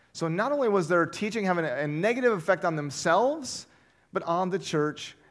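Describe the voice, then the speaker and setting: Loud and lively in intonation, a man speaks at a moderate pace. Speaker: pastor. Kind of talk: sermon. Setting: church.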